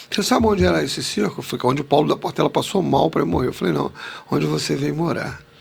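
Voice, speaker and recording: A man talks very fast against noticeable background noise. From Rio de Janeiro suburbs, Madureira. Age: 60s. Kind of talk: podcast interview storytelling.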